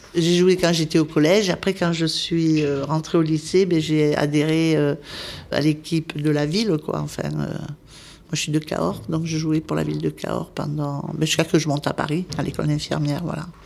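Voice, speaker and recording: With noticeable background noise, a woman of very deep, low pitch speaks at a moderate pace in a monotone, flat intonation. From southwestern France, Spanish-born parents. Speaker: volunteer nurse. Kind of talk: interview.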